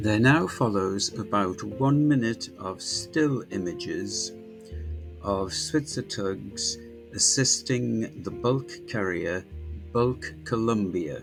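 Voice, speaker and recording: Music plays in the background as a man with a fairly low pitch speaks at a very slow pace with lively intonation. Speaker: ship spotter and video maker. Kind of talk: documentary voice-over narration.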